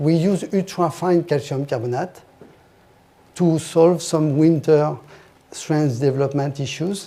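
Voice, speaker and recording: In a French accent, a dark, mellow voice moves at a moderate pace with fairly even intonation. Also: man. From France. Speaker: industry expert presenter. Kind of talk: technical presentation. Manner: halting.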